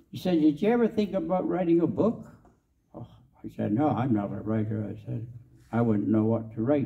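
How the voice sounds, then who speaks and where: The man's voice sounds somewhat breathy. He keeps a moderate pace. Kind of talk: storytelling talk to an audience. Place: hall. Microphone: handheld.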